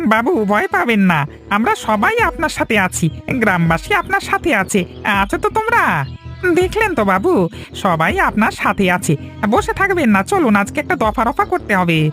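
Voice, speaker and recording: A man does a cartoonish character voice at an extremely high pitch, with clear music in the background. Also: moderate pace. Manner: brash, excitable.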